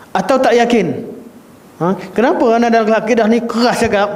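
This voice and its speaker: Amid noticeable background noise and audible room echo, a high-pitched man with a Malaysian accent speaks with fairly even intonation. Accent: Malaysian Malay. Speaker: Islamic religious teacher. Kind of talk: religious lecture. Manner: firm, emphatic in creed class.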